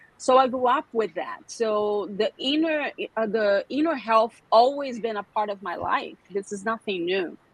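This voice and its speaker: Speaking at a fairly slow pace with hardly any pauses, a woman uses a fairly high pitch and lively intonation. She talks with a Brazilian Portuguese accent. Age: 40s. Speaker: skincare specialist. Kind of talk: podcast interview. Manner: halting.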